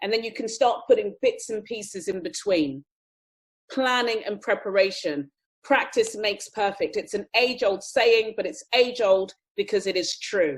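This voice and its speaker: A normal speaking voice talks at a moderate pace with lively intonation. The background is quiet. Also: woman. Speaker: public speaking workshop trainer. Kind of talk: online workshop.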